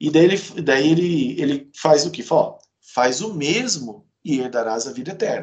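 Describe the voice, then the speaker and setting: Using an unremarkable speaking voice, a man talks at a moderate pace with a fairly high pitch and lively intonation. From Brazil, Campo Grande, Mato Grosso do Sul. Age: 40s. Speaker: author and lawyer. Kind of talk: interview.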